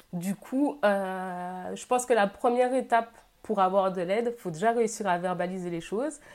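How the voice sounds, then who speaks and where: In a very clean recording with a silent background, a woman speaks in an ordinary speaking voice at a medium pitch, with ordinary pitch variation. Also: moderate pace. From Guadeloupe. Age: 20s. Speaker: social media creator and engineer. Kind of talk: interview testimony.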